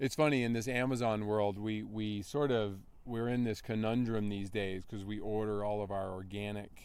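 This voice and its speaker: A man with an American accent speaks fairly slowly at a fairly low pitch. His intonation stays fairly even, and the room has an audible echo. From North Carolina. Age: 50s. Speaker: endurance athlete. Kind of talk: interview. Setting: outdoor race event. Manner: casual, conversational.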